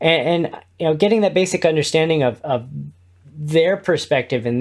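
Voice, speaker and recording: At a fairly quick pace, a man speaks with an American accent. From US Midwest, Indiana (Kokomo). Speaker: podcast network co-founder and podcast host. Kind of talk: interview. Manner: loud.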